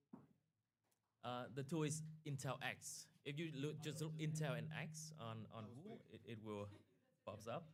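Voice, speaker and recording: This man talks at a fairly slow pace with long, frequent pauses, his somewhat breathy voice sitting fairly high for a man with ordinary pitch variation, and the room adds audible echo. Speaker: cybersecurity instructor. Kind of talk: technical workshop. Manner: halting.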